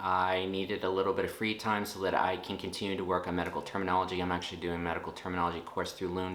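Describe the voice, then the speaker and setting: This man speaks with a Texan accent. His pitch is very deep and low. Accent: Texan American English. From Texas, USA. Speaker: nurse. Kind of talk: casual talk to camera.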